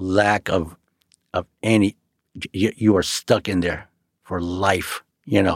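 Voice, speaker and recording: A man with an American accent and a very deep, low pitch speaks at a fairly slow pace with fairly even intonation on a very clean recording with a silent background. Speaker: street artist. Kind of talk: casual chat.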